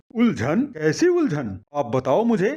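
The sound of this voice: A man puts on a character voice with very wide swings in pitch. He talks at a fairly slow pace in a fairly high register. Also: slightly mellow tone.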